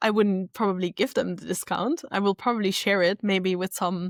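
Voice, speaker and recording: A woman's medium-pitched voice with a German accent at a moderate pace, dry and close with no echo, on a very clean recording with a silent background. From South Tyrol, northern Italy. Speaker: social media strategist and retreat business owner. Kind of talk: casual interview chat.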